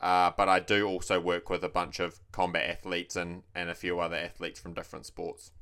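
A man's very deep, low voice with a bright, sharp tone and a New Zealand accent, fairly quick and flat in a monotone, with hardly any pauses, on a very clean recording with a silent background. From New Zealand, Taranaki. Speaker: personal trainer and bodybuilding coach. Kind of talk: casual chat.

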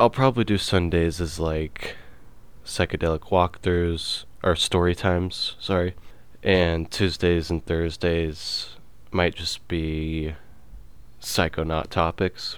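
A man's low-pitched voice at a slow pace, with fairly even intonation.

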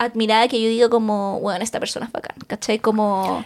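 A woman with a Chilean accent speaks at a fairly high pitch and a fairly quick pace. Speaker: podcast co-host. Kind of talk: casual chat.

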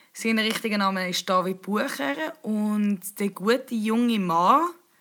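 A woman speaks at a medium pitch with a bright, sharp tone and a Swiss accent. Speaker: podcast host. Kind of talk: casual chat.

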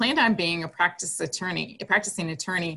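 Speaking with an American accent, a woman has a fairly low pitch, a bright, sharp tone and vocal fry. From Wisconsin (Green Bay). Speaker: college athletics conference commissioner. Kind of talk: interview.

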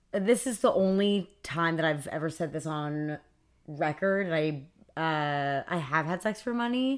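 In a very clean recording with a silent background, a woman with an unremarkable speaking voice talks at a fairly low pitch with lively intonation. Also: fairly slow pace. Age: 20s. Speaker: podcast guest. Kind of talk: casual chat.

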